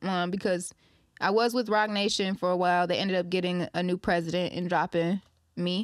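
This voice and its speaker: Fairly low in pitch, a woman talks at a fairly quick pace on a very clean, dry, close recording with no echo and a silent background. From Ypsilanti and Detroit area, Michigan. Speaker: singer. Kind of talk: casual interview. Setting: studio.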